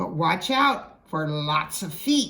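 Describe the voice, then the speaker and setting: A woman's put-on character voice, fairly low in pitch. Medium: read story. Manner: complaining, superior.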